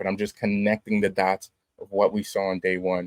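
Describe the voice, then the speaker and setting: A man in an ordinary speaking voice, moderate pace and fairly even intonation, with a dry, close sound and no echo. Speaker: marketing webinar presenter. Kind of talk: live webinar presentation. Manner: casual with frequent fillers.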